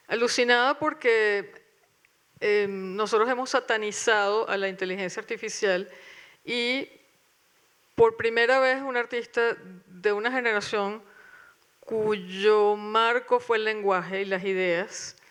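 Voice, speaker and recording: A woman speaks very slowly in a fairly high pitch with fairly even intonation. Her pauses are long and frequent, and the background is quiet. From Venezuela. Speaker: curator. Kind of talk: panel talk with reading aloud. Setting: auditorium with audience.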